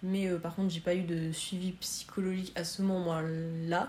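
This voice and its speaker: At a fairly slow pace, a woman speaks with a fairly low pitch and flat, monotone intonation. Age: 20s. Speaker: student sharing eating disorder experience. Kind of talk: testimony. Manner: halting.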